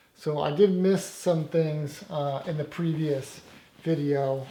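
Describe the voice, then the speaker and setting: A man speaks with a fairly high pitch. His tone is dark and mellow, somewhat breathy. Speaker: audio installer. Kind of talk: tutorial. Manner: halting.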